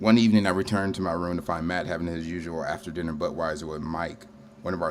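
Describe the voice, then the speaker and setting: The speaker talks very fast with an American accent and fairly even intonation. The room echo is audible and background noise is noticeable. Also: man. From Ohio, Cleveland area. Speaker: storyteller, military veteran. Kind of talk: live storytelling performance. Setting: stage with audience at a brewery.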